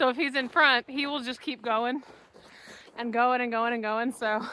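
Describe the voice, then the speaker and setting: A woman projects a raised voice at a high pitch with a bright, sharp tone. She speaks at a fairly slow pace with ordinary pitch variation. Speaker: vlogger. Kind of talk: casual chat. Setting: outdoors. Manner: loud.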